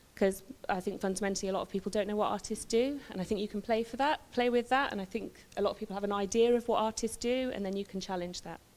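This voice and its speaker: A woman with a West Midlands accent talks at a very fast pace, keeping fairly even intonation and hardly any pauses. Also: medium pitch for a woman. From West Midlands, England. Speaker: visual artist. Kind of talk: public talk, partly read from notes. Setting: talk to a live audience with handheld microphone.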